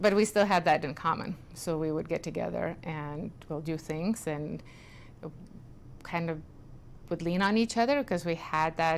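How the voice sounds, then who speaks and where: In a Lithuanian accent, a woman with a fairly low pitch talks at a moderate pace with ordinary pitch variation. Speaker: community group founder. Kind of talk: interview.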